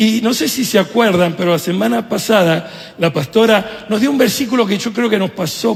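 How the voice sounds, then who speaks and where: This man's intonation is lively and his speed moderate, with noticeable noise in the background. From Venezuela, Italy and Argentina. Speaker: pastor. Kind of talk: sermon.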